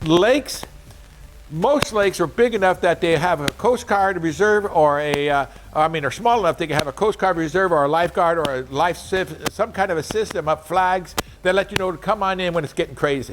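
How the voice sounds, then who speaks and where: Over noticeable background noise, a man with a high pitch and ordinary pitch variation talks at a fairly quick pace. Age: 70s. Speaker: powersports salesman. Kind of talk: informal product advice talk. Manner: casual, repetitive with restarts.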